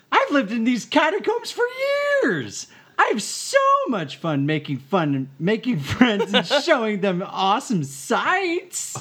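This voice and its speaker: This is a put-on character voice that sounds female. It has a fairly high pitch and moves at a fairly slow pace. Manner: friendly, enthusiastic.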